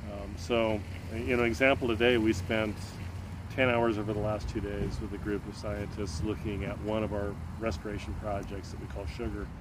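A man with an American accent talks at a moderate pace, his pitch fairly low with ordinary variation. Audible room echo surrounds the voice. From US Pacific Northwest, North Seattle. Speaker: nonprofit foundation president. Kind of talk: interview. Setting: outdoors in a park.

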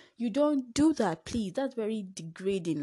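Against a quiet background, a woman talks at a fairly quick pace in a somewhat breathy voice with a dark, mellow tone and lively intonation. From Nigeria. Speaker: podcast host. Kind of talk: casual monologue.

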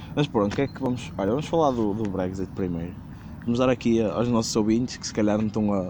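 Here a man talks at a very fast pace. His pitch is fairly low, with ordinary variation. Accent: European Portuguese. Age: 20s. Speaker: podcast host. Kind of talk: casual chat.

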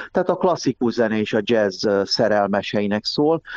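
A man speaks in a plain, everyday voice, fairly low in pitch. The sound is dry and close with no echo, and his pace is fairly slow. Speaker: music historian and magazine editor. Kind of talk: interview.

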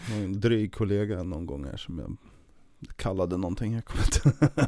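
Here is a man with a fairly low pitch. His loudness swings widely. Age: 30s. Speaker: nurse, former paramedic. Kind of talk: casual chat.

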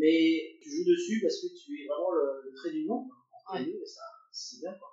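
The man talks at a moderate pace. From France. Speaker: engineer. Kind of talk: interview. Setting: at the host's home. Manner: halting.

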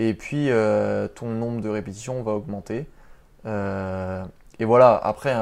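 A man talks in a normal speaking voice. His pitch is fairly low and his intonation fairly even. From Paris region, France. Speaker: street workout athlete and doctoral student. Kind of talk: casual interview.

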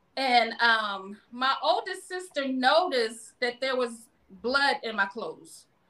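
This woman has a high-pitched, bright, sharp voice with an American accent. She speaks very slowly in a raised, projected voice with lively intonation. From Baltimore, Maryland, US. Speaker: cancer survivor and public speaker. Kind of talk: casual interview, personal testimony.

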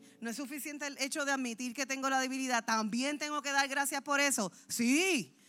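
A woman with a high pitch speaks in a raised, projected voice at a fairly quick pace, with hardly any pauses. Her tone is animated, bright and sharp. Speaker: pastor. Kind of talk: sermon.

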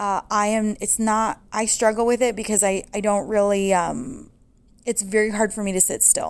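On a very clean recording with a silent background, a woman with a normal speaking voice talks at a moderate pace with medium pitch and fairly even intonation. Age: 40s. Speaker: podcast host and small business owner. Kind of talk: casual monologue.

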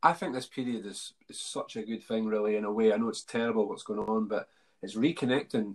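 A man talks fairly quickly in an unremarkable speaking voice, holding a medium pitch and fairly even intonation. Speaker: podcast host. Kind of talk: casual interview chat.

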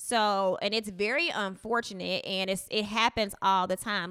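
A loud woman's voice, bright and sharp in tone, at medium pitch. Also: very clean recording, silent background. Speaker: podcast co-host. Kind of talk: casual chat. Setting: home.

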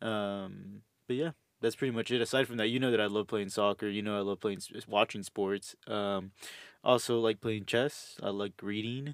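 A man with an American accent speaks at a moderate pace in a fairly low voice with ordinary pitch variation; an ordinary speaking voice. The recording is very clean with a silent background and a dry, close sound with no echo. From Houston, Texas. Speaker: host's boyfriend. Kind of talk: casual chat.

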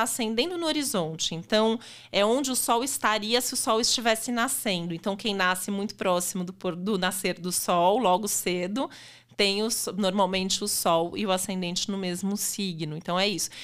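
At a moderate pace, a woman with medium pitch and an unremarkable speaking voice is heard on a very clean recording with a silent background. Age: 40s. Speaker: astrologer. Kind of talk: casual chat.

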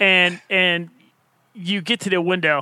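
A man with an American accent, high in pitch. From Ohio. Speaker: podcast co-host, runner. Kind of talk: casual chat.

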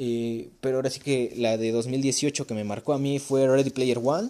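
The man has a dark, mellow tone and keeps to a moderate pace. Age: young. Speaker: podcast host. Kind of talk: casual chat. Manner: casual, conversational.

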